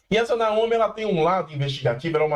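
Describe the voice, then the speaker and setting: An animated man with lively intonation over noticeable background noise. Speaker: pop culture youtuber. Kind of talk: casual review monologue. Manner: fast.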